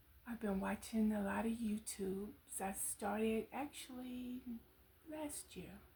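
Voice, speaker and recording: The speech moves at a fairly slow pace. Background noise is noticeable. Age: 70s. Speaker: vlogger. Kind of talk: personal reflection monologue.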